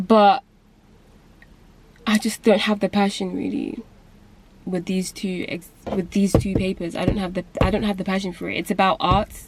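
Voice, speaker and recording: A woman whispers at a moderate pace, breaking often with long pauses. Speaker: booktube vlogger. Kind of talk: casual vlog rant. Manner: whispering.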